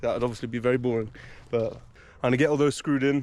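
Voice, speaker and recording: Very fast and monotone with flat intonation, a man talks at medium pitch in a dark, mellow tone. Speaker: solo wild camper vlogger. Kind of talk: vlog narration. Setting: outdoors in woodland.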